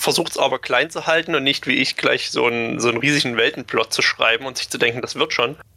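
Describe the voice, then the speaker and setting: The speech moves at a fairly quick pace with a bright, sharp tone. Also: man. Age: 20s. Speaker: hobby game master. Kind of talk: interview.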